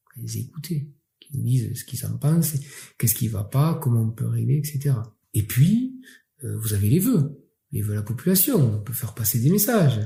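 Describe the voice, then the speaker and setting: A man talks at a medium pitch with lively intonation and a dark, mellow tone. His voice is somewhat breathy. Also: moderate pace. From Catalonia, southern France. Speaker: mayor. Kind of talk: interview. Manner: hesitant with fillers.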